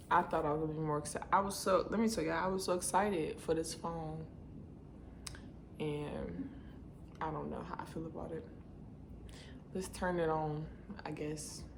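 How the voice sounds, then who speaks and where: A woman speaks quietly at a very deep, low pitch, with fairly even intonation and long, frequent pauses. Noticeable background noise and audible room echo surround her voice. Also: moderate pace. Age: 20s. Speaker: beauty vlogger. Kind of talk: casual vlog unboxing. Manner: quiet, low-key.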